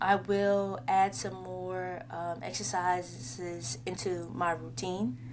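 The speech goes at a very slow pace with hardly any pauses. Room echo can be heard. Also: woman. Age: 30s. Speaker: podcast host. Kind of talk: casual solo monologue. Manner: rambling, conversational.

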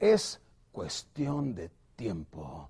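A man speaks at a medium pitch in a dark, mellow tone with vocal fry. The background is quiet. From northern Mexico, Ciudad Juárez, Chihuahua. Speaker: sales trainer. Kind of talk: motivational sales training. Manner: animated.

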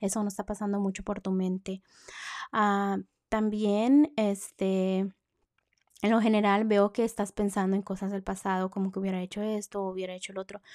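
Recorded very cleanly against a silent background, a woman talks at a fairly quick pace in a flat monotone, the sound dry and close with no echo. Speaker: horoscope podcaster. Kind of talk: tarot-style horoscope reading.

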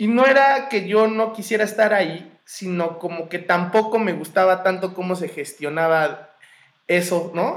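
This man's voice is high, and its pitch moves up and down in an ordinary way. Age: 20s. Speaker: visual artist and photographer. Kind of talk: casual interview.

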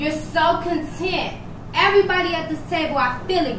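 A woman uses a raised, projected voice at an extremely high pitch and a fairly slow pace. Noticeable background noise runs underneath. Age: 40s. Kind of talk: casual chat; motivational speech.

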